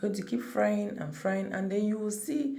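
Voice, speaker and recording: A woman speaks at a moderate pace, and audible room echo follows her words. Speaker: cooking channel creator. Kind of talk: cooking tutorial. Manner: casual, conversational.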